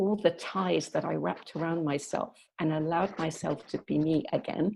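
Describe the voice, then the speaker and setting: Over a quiet background, a woman talks at a moderate pace in a fairly low voice with vocal fry. Her pitch varies in an ordinary way. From northern England, Yorkshire. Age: 60s. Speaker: youth workshop facilitator. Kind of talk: podcast interview.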